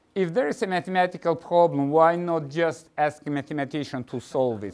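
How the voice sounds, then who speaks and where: A man is speaking. He has a non-native accent. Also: very clean recording, silent background. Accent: foreign. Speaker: mathematics professor. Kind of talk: lecture. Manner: halting, many fillers.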